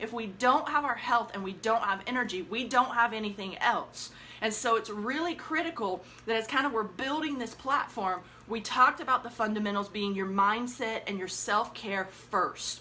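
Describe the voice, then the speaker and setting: Against noticeable background noise, a woman talks at a moderate pace in a fairly high pitch. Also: ordinary pitch variation. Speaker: life coach. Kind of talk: live stream talk. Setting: Facebook Live broadcast. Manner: animated; energetic.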